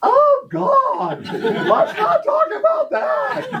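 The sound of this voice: In a put-on character voice, a man speaks at a very slow pace and an extremely high pitch.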